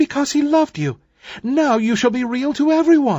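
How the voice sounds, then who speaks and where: At a moderate pace, a put-on character voice speaks in a high pitch. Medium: read story. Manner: tender, kindly.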